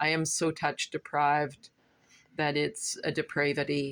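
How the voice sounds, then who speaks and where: In a very clean recording with a silent background, a woman with a very deep, low pitch speaks at a fairly slow pace. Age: 60s. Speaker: vlogger. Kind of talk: casual monologue vlog.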